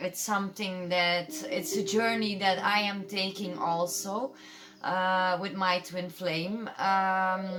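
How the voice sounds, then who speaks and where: In a room with audible echo and noticeable background noise, a woman of medium pitch speaks at a very slow pace with fairly even intonation. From Belgium. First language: Dutch. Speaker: tarot reader. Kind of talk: tarot reading. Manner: halting, many fillers.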